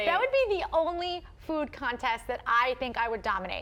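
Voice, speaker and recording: A woman speaks in a high, playful voice with very wide pitch swings at a moderate pace. Noticeable background noise is present. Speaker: TV news anchor and reporter. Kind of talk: casual on-set banter with co-anchors. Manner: playful, chatty.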